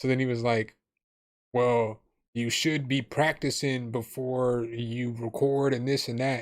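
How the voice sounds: In a medium-pitched voice, a man speaks at a fairly slow pace with fairly even intonation.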